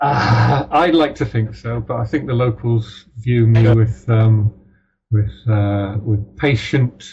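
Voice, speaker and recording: At a very slow pace, a man with a British accent speaks in a medium pitch with fairly even intonation. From Ireland, then mostly Britain. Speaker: crime novelist. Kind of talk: interview. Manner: halting, many fillers.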